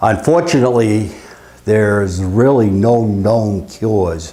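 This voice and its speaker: A man speaks at a fairly slow pace with ordinary pitch variation. Noticeable background noise runs under the recording. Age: 70s. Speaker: retired electrical engineer, patient. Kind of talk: testimony. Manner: halting, frequent uh fillers.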